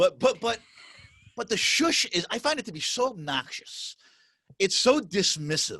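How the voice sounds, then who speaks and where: Loud, with a bright, sharp tone, the voice makes very wide pitch swings and takes long, frequent pauses, its sound dry and close with no echo. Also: man, high pitch for a man. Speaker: podcast host. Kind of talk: casual chat. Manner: emphatic.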